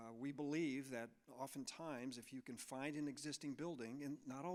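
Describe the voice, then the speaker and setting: A man's normal speaking voice with an American accent, fairly high in pitch with ordinary variation, at a moderate pace. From US Midwest, Chicago area. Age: 60s. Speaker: architect. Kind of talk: presentation to an audience.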